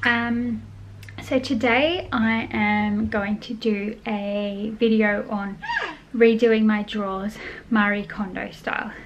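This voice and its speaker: Against light background noise, a woman with a fairly high pitch speaks at a very slow pace. Her intonation stays fairly even. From Australia. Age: 30s. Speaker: mum vlogger. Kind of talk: casual talk to camera. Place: home room. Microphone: phone near.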